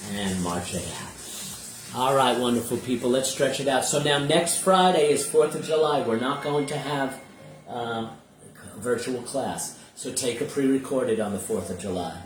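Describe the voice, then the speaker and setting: With music in the background and audible room echo, a man at medium pitch speaks in an upbeat tone with lively intonation at a moderate pace. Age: 50s. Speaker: senior fitness instructor. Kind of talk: live online exercise class instruction. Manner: upbeat, encouraging.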